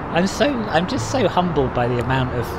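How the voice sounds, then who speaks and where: A man with a London accent and lively intonation, amid audible room echo and noticeable background noise. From London, England. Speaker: flight sim streamer. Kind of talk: live stream chat. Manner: casual, frequent fillers.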